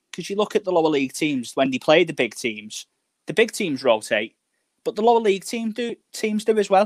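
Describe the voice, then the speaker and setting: A man with a Liverpool accent talks at a fairly quick pace and high pitch, with very wide pitch swings. The sound is dry and close with no echo. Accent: Scouse. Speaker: fan guest.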